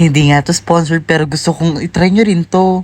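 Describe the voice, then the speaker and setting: A woman at a fairly quick pace, fairly low in pitch, with fairly even intonation. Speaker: lifestyle vlogger. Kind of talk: casual vlog chat. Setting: quiet cafe. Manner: soft-spoken, quiet.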